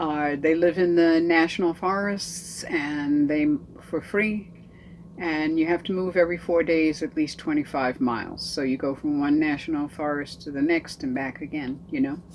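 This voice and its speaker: A woman's very deep, low pitch with ordinary pitch variation, moderate pace and noticeable background noise. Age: 70s. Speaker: aspiring nomad, van-life vlogger. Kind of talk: casual talk to camera.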